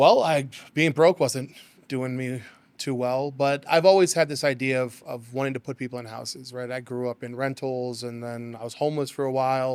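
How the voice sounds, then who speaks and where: A plain, everyday voice from a man with an American accent, medium in pitch with fairly even intonation and big swings in loudness, on a very clean recording with a silent background. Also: moderate pace. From Las Vegas, US. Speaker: real estate agent. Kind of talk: interview.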